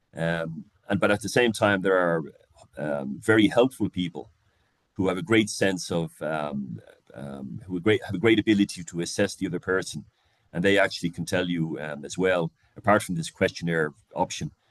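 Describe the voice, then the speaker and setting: Heard in a dry, close sound with no echo, a man with a very deep, low pitch talks at a moderate pace with ordinary pitch variation. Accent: Irish. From Ireland. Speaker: leadership coach. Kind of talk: lecture. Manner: halting, many fillers and repeats.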